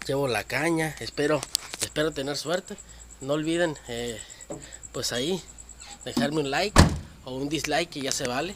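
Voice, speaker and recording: Noticeable background noise runs through the clip. The speech has long, frequent pauses. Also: moderate pace. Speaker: fishing vlogger. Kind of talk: casual vlog narration.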